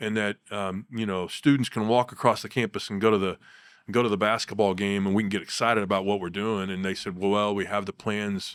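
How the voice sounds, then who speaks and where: This man has an American accent and a fairly low voice, talking at a fairly quick pace with monotone, flat intonation. The recording is very clean, with a silent background. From Kansas. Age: 60s. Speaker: basketball coach. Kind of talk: interview, life story.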